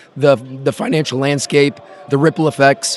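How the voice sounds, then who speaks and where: A man with a fairly high voice speaks at a moderate pace, the sound dry and close with no echo but with noticeable background noise. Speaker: crypto YouTuber interviewer. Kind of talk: casual interview. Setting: conference floor.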